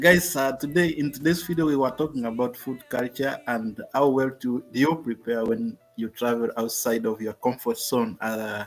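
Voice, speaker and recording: A Kenyan-accented man at a moderate pace and medium pitch, with ordinary pitch variation, hardly any pauses and music in the background. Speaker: travel channel host. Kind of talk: casual chat. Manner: halting.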